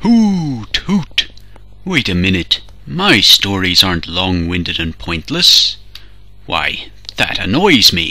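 A man speaks in a put-on character voice. Light background noise sits behind him. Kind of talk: comic overacting. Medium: fan dub. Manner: indignant, rambling.

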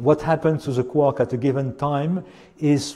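A man speaks at a moderate pace in a dark, mellow tone. His voice is somewhat breathy, with ordinary pitch variation. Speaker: physics professor. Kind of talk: lecture. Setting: lecture hall with audience. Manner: hesitant. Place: classroom.

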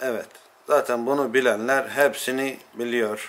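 A man at a medium pitch, fairly slow pace, with faint music in the background. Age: 40s. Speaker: watchmaker. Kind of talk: interview. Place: workshop.

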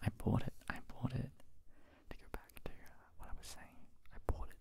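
A man whispers softly, his loudness swinging widely. The sound is dry with no echo, though background noise is noticeable. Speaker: ASMR creator. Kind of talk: soft-spoken casual storytelling. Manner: soft close-mic whisper. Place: home room. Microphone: handheld.

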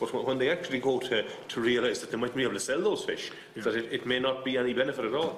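Over light background noise and audible room echo, a man talks at a very fast pace. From Ireland. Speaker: politician. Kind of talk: committee questioning. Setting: parliamentary committee room. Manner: halting, repetitive. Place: meeting room. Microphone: podium.

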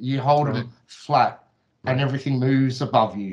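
Speaking at a moderate pace with an Australian accent, a man sounds somewhat breathy, his intonation fairly even over a quiet background. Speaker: flat earth video creator. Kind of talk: casual chat. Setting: video call. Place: home room.

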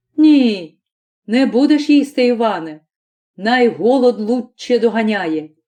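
A woman puts on a character voice at a fairly high pitch. She goes at a fairly slow pace with lively intonation. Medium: read story. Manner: mild, patient.

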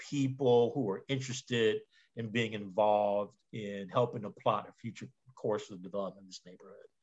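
Over a quiet background, a man talks at a medium pitch with ordinary pitch variation. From West Oakland, California. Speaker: community organizer and storyteller. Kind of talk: colloquium talk. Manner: casual, conversational. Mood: friendly, a bit flustered. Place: home room. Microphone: video call.

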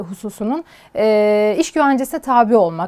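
A woman talks at a moderate pace. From Turkey, Sivas (Gürün). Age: 20s. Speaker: lawyer. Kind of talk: interview. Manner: hesitant with fillers.

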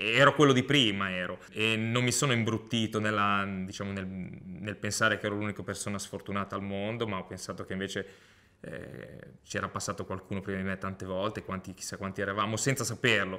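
A man's bright, sharp tone sits at a fairly low pitch with fairly even intonation. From Liguria, Italy (Lavagna, Genoa); Liguria, Italy. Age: 40s. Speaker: Paralympic handbike athlete. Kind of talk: testimony. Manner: halting, with frequent repetitions and fillers. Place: home room.

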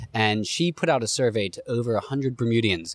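With ordinary pitch variation, a man speaks at a fairly quick pace over a quiet background, the sound dry with no echo. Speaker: podcast host. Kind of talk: podcast conversation. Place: garden. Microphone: studio mic.

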